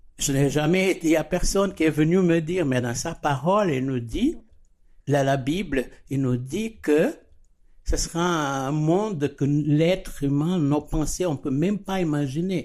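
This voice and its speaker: Fairly slow, fairly high male speech with ordinary pitch variation. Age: 60s. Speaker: church member sharing faith. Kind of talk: testimony. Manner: halting.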